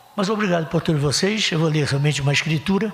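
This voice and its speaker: Both noticeable background noise and audible room echo accompany this man's voice. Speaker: pastor. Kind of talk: sermon. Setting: church. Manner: fast; animated.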